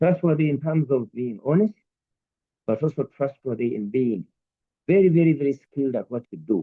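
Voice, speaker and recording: Lively intonation marks this man's speech. He keeps to a moderate pace. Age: 60s. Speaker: entrepreneur. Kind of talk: Q&A answers at a talk.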